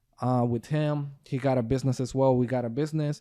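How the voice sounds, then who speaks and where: A dark, mellow tone with a Spanish accent, fairly quick pace and fairly even intonation on a very clean recording with a silent background. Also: man. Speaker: former pro baseball player and businessman. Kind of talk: casual podcast chat.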